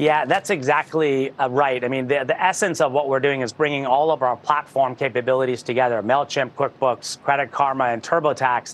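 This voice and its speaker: An ordinary speaking voice from a man at medium pitch, fairly quick in pace, with hardly any pauses and fairly even intonation. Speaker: tech company executive. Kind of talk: interview.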